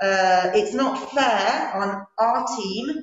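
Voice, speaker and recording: A woman's medium-pitched voice with audible room echo. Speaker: English teacher. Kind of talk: meeting discussion. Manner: slow, articulated; halting.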